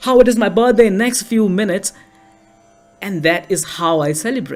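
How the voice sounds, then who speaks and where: A man's high voice with an Indian accent, at a moderate pace with ordinary pitch variation, music in the background. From India, New Delhi. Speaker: storyteller. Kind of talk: storytelling performance.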